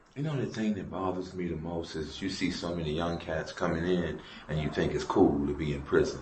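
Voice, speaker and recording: Very deep, low male voice at a fairly quick pace, ordinary pitch variation, noticeable background noise and audible room echo. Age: 60s. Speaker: prison inmate. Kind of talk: interview. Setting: prison.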